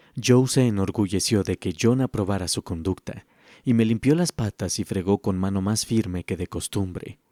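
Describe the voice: The pitch moves in an ordinary way during plain reading aloud.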